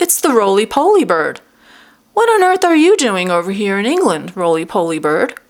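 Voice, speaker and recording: A woman puts on a character voice. Her pitch is fairly high. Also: moderate pace. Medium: read story.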